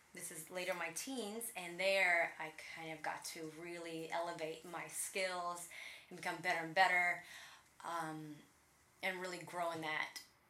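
A woman talks at a fairly slow pace with a bright, sharp tone and monotone, flat intonation. Her loudness swings widely, and room echo is audible. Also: fairly low pitch for a woman. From Latvia (Riga), Russian-speaking. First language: Russian. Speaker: personal trainer, former professional dancer. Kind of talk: interview.

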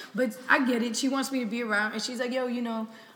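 A woman with an American accent, fairly high in pitch, with ordinary pitch variation and noticeable background noise. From Florida. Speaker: podcast host. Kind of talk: casual interview.

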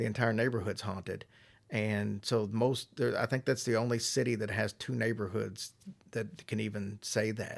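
A man speaks at a medium pitch and moderate pace with vocal fry. His intonation is fairly even, on a very clean recording with a silent background. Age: 50s. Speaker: podcast host. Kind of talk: interview.

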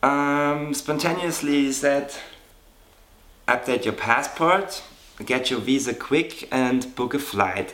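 Speaking very slowly with long, frequent pauses, a man with a German accent uses a fairly high pitch and ordinary pitch variation. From Germany. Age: 30s. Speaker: model. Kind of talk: interview.

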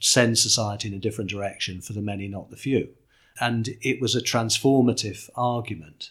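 Spoken at a fairly quick pace with fairly even intonation, the voice swings widely in loudness over a very clean recording with a silent background. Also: man, medium pitch for a man. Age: 60s. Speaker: political communications strategist, former journalist. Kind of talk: interview. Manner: repetitive, halting restarts.

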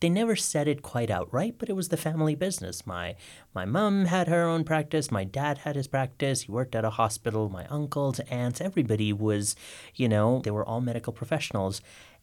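A man with a medium pitch speaks at a fairly quick pace with very wide pitch swings. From mixed international upbringing, born in England. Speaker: screenwriter. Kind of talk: interview.

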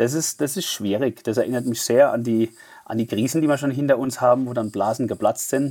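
In a Mannheim accent, a man of medium pitch talks at a fairly quick pace with fairly even intonation on a very clean recording with a silent background. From Germany, Mannheim. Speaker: fintech executive. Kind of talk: interview.

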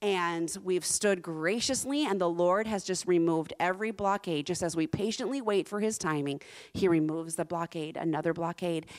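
A woman in an American accent, an ordinary speaking voice, fairly low in pitch with ordinary pitch variation, moderate in pace with hardly any pauses, on a very clean recording with a silent background. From US South, Central Florida. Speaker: missionary. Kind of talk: sermon. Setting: church with live audience.

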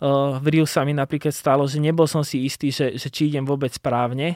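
A man's fairly high voice in a monotone, flat intonation at a moderate pace, dry and close with no echo. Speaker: Olympic triathlete and podcaster. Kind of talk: casual interview chat. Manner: halting, many fillers and repeats.

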